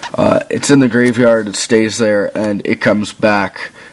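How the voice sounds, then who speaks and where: Noticeable background noise surrounds a man speaking at a fairly low pitch and a fairly slow pace with fairly even intonation. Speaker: gaming video creator. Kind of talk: tutorial. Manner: casual, with many fillers.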